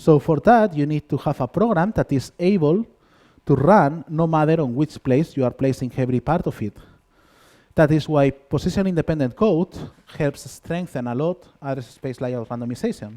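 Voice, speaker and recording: With a strong Spanish accent, a man talks at a moderate pace in a dark, mellow tone with lively intonation, the sound dry and close with no echo. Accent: thick Spanish. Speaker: conference speaker, software developer. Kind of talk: conference talk. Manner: halting, many fillers.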